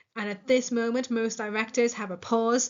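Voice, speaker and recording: A woman with a Northern Irish accent and fairly even intonation. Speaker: English literature teacher. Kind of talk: lecture. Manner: casual with filler words.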